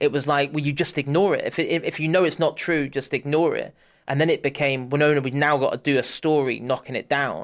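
A man talks at a very fast pace with fairly high pitch. The background is quiet. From southwest England, Bath. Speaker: football journalist. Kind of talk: casual chat. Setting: studio.

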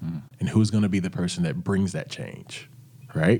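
A man talks with lively intonation in a somewhat breathy voice. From Arkansas, near Little Rock. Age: 30s. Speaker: singer, author and entrepreneur. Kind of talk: interview conversation.

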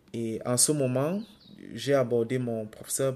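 A man talks in a Cameroonian accent with a dark, mellow tone. His intonation stays fairly even. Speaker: podcast co-host. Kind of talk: testimony.

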